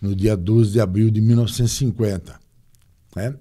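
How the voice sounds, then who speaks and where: Fairly even intonation marks a man's medium-pitched delivery. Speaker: former football club president. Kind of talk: interview.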